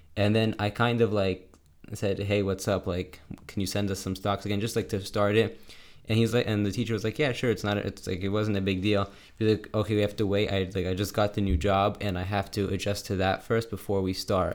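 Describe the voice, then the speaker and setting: A man speaks in a fairly low voice. His intonation stays monotone and flat. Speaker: podcast co-host, son. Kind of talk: casual chat. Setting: remote call.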